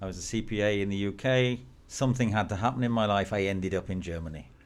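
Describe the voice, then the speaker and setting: Speaking with an English accent, a man lets his pitch rise and fall in a typical way. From England. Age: 50s. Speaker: business networking executive. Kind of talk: interview.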